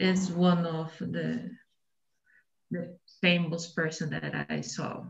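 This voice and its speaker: Very slow delivery with long, frequent pauses, in a Brazilian accent. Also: woman. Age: 40s. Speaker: micro entrepreneur and announcer. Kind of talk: casual conversation practice. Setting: video call.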